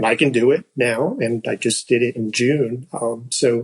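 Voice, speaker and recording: A man with fairly even intonation in a dry, close sound with no echo. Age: 60s. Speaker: patient and strength coach. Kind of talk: interview testimony. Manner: halting, with repetitions.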